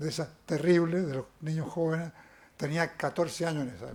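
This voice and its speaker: A man speaks at a moderate pace in a high pitch. The recording is very clean, with a silent background. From Chile. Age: 80s+. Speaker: lawyer. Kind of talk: acceptance speech.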